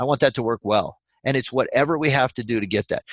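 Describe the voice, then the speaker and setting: A man's unremarkable speaking voice at medium pitch, fairly quick pace and ordinary pitch variation, with a dry, close sound, no echo and a quiet background. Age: 60s. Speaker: functional medicine doctor. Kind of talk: webinar presentation. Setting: online webinar.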